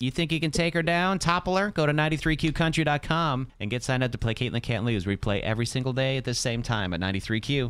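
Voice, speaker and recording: This man has an ordinary speaking voice at a medium pitch with lively intonation. He talks at a fairly quick pace with hardly any pauses. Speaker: radio host. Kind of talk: casual banter.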